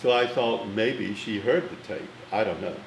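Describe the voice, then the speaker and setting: There is noticeable background noise and audible room echo. A man with an American accent talks at a moderate pace and a medium pitch. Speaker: film critic. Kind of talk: interview storytelling. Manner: formal.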